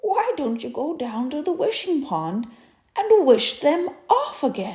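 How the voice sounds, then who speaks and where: A put-on character voice at a fairly slow pace, full of very wide pitch swings. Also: woman, high pitch for a woman. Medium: read story. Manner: gentle, wise.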